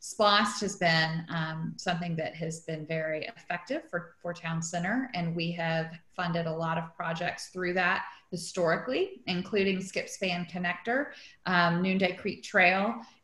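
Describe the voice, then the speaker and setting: A woman speaks at a fairly slow pace in a fairly low pitch, with fairly even intonation and audible room echo. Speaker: event host. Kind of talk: meeting introduction. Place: home room. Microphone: video call.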